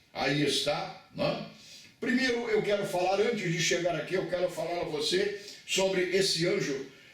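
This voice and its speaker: A man speaks at a moderate pace in a high-pitched voice. Noticeable background noise and audible room echo fill the recording. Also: ordinary pitch variation. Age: 70s. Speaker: pastor. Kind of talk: bible lecture.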